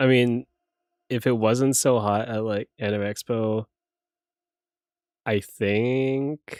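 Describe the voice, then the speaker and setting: A man's tired, monotone voice at medium pitch, flat in intonation, dry and close with no echo. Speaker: streamer. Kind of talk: casual chat. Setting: live stream. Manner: sounds tired, low energy.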